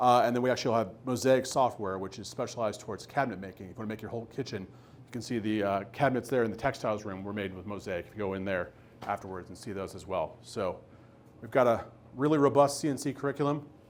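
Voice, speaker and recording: The speech moves at a very fast pace with ordinary pitch variation. Its loudness swings widely. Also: man, medium pitch for a man. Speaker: woodworking instructor presenting a project. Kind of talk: presentation to a live audience with Q&A. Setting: room with live audience at a makerspace.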